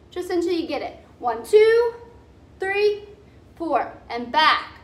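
A woman's raised, projected voice. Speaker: fitness instructor. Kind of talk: workout instruction. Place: gym. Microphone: camera far.

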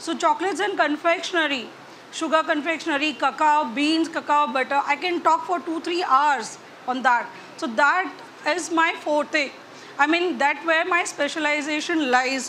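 A woman's raised, projected voice at a moderate pace, fairly even in intonation, with light background noise. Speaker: chocolatier instructor. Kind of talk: tutorial. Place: hall. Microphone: lapel.

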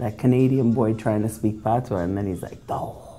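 Background music accompanies the recording. Over it, a woman's voice is heard. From Toronto, Canada. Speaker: reggae DJ. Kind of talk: interview answer. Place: office.

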